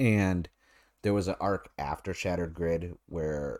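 This man talks with an American accent at a very deep, low pitch and ordinary pitch variation, on a very clean recording with a silent background. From North America. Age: 30s. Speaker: podcast host, TV show reviewer. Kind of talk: solo review monologue. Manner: casual, filler-heavy with repetitions.

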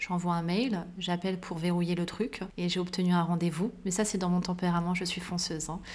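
Audible room echo surrounds a woman speaking at a moderate pace with a fairly low pitch and monotone, flat intonation. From Paris suburbs (Val-de-Marne), born in Morocco. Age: 30s. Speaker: art historian and curator. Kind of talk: interview conversation.

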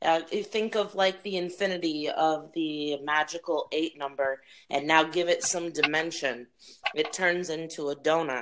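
A woman with an American accent speaks in a normal speaking voice at a fairly low pitch. She goes at a fairly slow pace with ordinary pitch variation. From Wisconsin, Milwaukee. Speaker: podcast participant matched with a stranger. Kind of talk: casual chat.

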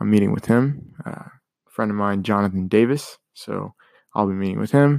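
A man with an American accent talks at a moderate pace in a normal speaking voice. His pitch is fairly low, and the sound is dry and close with no echo. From Colombia, then Kansas City, Missouri. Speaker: podcast host, college student. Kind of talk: casual monologue, story time. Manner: casual with many fillers.

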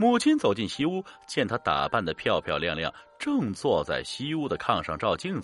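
The voice heard here is an unforced reading voice.

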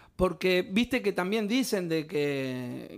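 Very slowly, a man speaks in a high voice. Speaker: podcast co-host, poet. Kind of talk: casual chat. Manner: animated.

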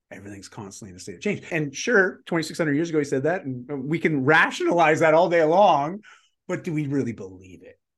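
A man talks at a very fast pace with a fairly high pitch, very wide pitch swings and big swings in loudness. Vocal fry comes through, and the background is quiet. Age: 40s. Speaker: fitness and lifestyle coach, keynote speaker. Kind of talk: interview conversation.

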